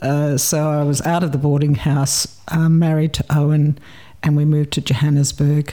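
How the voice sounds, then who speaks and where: A woman speaks at a moderate pace with a slight South African accent, her very deep, low voice dark and mellow in tone, her loudness very even and her intonation flat and monotone. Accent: South African English, fairly light. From South Africa, Port Elizabeth. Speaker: retired person, film festival volunteer. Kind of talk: casual interview chat about migration.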